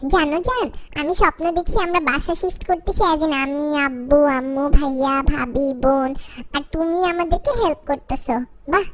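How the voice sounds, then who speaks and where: A put-on character voice carries the lines. The pace is moderate and the pitch varies in an ordinary way. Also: woman, high pitch for a woman. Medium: voice reel.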